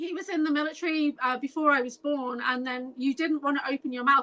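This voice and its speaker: This raised, projected voice moves at a very fast pace with ordinary pitch variation. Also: woman. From Merseyside, England (near Liverpool). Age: 50s. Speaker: experiencer and mystical wellness guide. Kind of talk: casual chat. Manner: animated.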